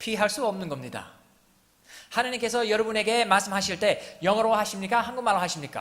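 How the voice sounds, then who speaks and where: The speech moves at a fairly quick pace with fairly even intonation, and room echo is audible. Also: man, high pitch for a man. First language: English (speaking Korean). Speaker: missionary pastor. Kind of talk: sermon.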